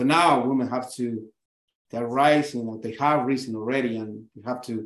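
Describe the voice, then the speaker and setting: A man with a South American accent speaks at a medium pitch and a moderate pace. His intonation is flat and monotone. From Chile. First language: Spanish. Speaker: breathwork and yoga instructor. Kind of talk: interview conversation.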